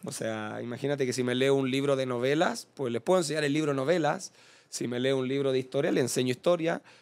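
Here a man talks at a very fast pace. His pitch is fairly high and his intonation fairly even. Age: 20s. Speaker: professional footballer. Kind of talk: casual interview chat.

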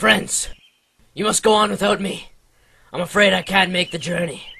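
A man in a put-on character voice, high-pitched, at a moderate pace. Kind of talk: comic overacting. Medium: machinima. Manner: grandiose, melodramatic.

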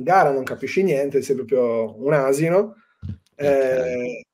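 Here a man speaks at a fairly high pitch. His pace is fairly slow, and his pitch varies an ordinary amount. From Sardinia, Cagliari; Sardinia, Italy. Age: 30s. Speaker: spearfisherman and excursion guide; excursion guide. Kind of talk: casual interview. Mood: relaxed, reflective. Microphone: video call.

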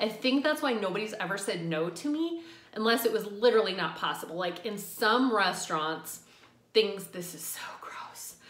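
Audible room echo surrounds a woman speaking at a moderate pace. Her loudness swings widely. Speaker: vegetarian food vlogger. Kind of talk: casual vlog chat. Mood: friendly, chatty.

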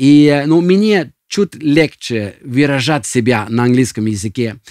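A man with a Norwegian accent, fairly high in pitch with a dark, mellow tone, lively intonation and a fairly slow pace, in a dry, close sound with no echo. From Norway. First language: Norwegian (speaking Russian). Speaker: senior pastor. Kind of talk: podcast introduction. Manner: halting, with frequent fillers.

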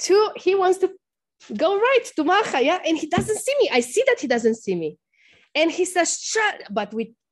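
Her pitch swings very widely as a woman speaks at a fairly slow pace. The background is quiet. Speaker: religious teacher. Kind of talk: lecture with personal story. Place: classroom. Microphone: video call.

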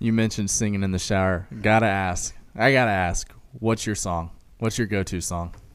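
A man with an unremarkable speaking voice talks at a moderate pace, with a fairly low pitch and fairly even intonation. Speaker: podcast host. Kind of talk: casual chat. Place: studio. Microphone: studio mic.

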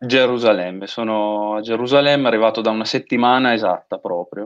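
In a quiet background, a man talks fairly quickly with fairly even intonation. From Emilia, Italy (between Reggio Emilia and Parma); Emilia, Italy. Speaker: doctoral student in medieval Persian history; guest. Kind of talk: interview conversation. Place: home room. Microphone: video call.

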